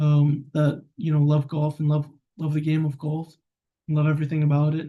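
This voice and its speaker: A man's voice sits fairly high in pitch, with a dark, mellow tone and some breathiness. He talks at a moderate pace. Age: 20s. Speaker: vlogger. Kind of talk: personal vlog monologue. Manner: casual, rambling with fillers.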